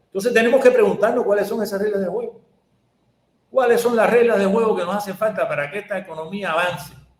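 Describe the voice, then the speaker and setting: This man's pitch is high and his pitch variation ordinary. He talks at a very fast pace. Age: 70s. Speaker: economist, professor. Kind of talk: interview. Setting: video call.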